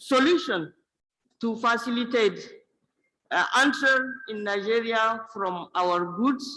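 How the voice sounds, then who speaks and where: With a bright, sharp tone and ordinary pitch variation, a woman talks at a very slow pace. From Niger. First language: French. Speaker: food processing business owner. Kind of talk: audience question at forum. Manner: halting.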